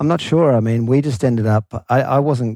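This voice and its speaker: A man with an Australian accent has a dark, mellow tone. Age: 40s. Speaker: guest entrepreneur. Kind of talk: casual interview chat.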